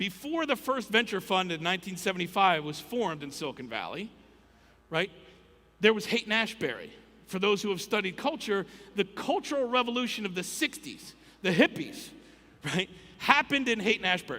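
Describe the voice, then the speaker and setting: A raised, projected voice with lively intonation, a fairly quick pace, and long, frequent pauses. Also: man, high pitch for a man. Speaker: conference speaker. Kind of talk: keynote talk. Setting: stage with audience. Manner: fast.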